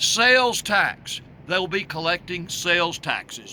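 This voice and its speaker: A man with a Southern US accent uses a raised, projected voice. His intonation is lively. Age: 60s. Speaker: political candidate. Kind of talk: campaign video monologue. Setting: outdoors on the road.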